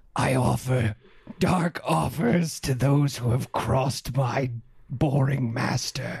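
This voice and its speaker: Growling in a put-on character voice, the speaker goes at a fairly slow pace. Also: man, medium pitch for a man. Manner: menacing, growling.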